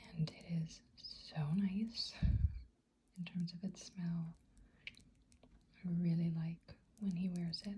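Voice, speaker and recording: The voice is soft-spoken. It moves at a very slow pace with long, frequent pauses. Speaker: ASMR artist and hypnotherapist. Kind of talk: ASMR soft-spoken product review.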